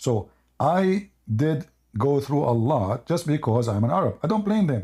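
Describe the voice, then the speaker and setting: Somewhat breathy and dark, mellow in tone, a man speaks with lively intonation on a very clean recording with a silent background. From Middle East. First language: Arabic. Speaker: debate show host. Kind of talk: heated debate. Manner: animated.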